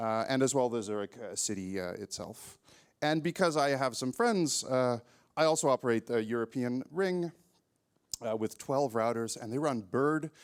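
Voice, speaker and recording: A man talks in a plain, everyday voice with an American accent, ordinary pitch variation and a moderate pace. The recording is very clean, with a silent background. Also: medium pitch for a man. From California. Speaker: network engineer. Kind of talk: conference talk. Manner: casual, many filler words.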